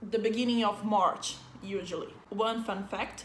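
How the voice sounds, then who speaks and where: Audible room echo surrounds this recording. A woman with a fairly high pitch speaks in a Brazilian accent. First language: Portuguese. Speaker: vlogger. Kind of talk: casual vlog talk to camera. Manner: animated.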